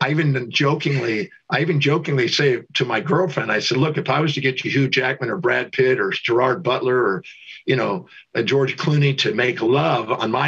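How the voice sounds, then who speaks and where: A man talks in a plain, everyday voice at medium pitch, with ordinary pitch variation and a fairly quick pace. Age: 60s. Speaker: teacher and life coach. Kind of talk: interview.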